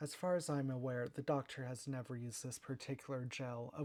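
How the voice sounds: Fairly even intonation runs through a natural reading voice.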